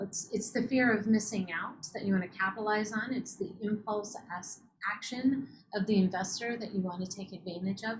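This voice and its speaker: Speaking with a Utah accent, a woman uses a medium pitch, ordinary pitch variation and a moderate pace. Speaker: startup accelerator host. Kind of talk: webinar interview.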